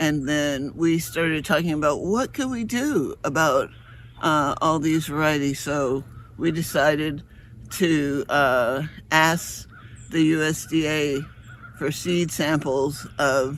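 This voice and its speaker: Here a man talks at a very slow pace. His voice is fairly high, with ordinary pitch variation. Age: 70s. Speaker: seed company farmer and collard seed saver. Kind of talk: informal presentation to a live online audience. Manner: halting, many fillers.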